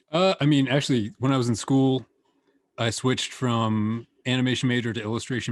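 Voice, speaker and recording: Against a quiet background, a man speaks at a fairly quick pace with ordinary pitch variation. He has an unremarkable speaking voice. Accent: American. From United States. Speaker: animator and illustrator. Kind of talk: casual interview.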